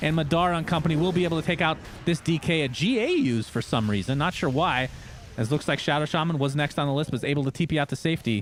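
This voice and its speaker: A man's very fast, animated delivery at very even loudness, with ordinary pitch variation, amid noticeable background noise. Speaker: esports caster. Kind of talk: live commentary.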